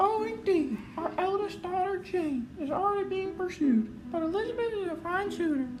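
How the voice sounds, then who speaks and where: In a put-on character voice, a woman speaks squeaky and extremely high-pitched at a moderate pace with hardly any pauses, over loud background noise. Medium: machinima. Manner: dramatic, exasperated.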